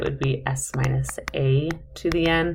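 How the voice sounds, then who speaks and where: Audible room echo surrounds a woman's voice. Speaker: math instructor. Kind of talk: lecture. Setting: recorded video lecture.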